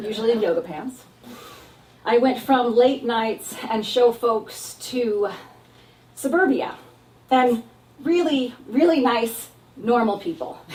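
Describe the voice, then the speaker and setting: Loud and high-pitched, a woman with an American accent talks at a fairly slow pace over noticeable background noise. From Texas and San Diego. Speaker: actor and comedic performer. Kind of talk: stand-up style solo show.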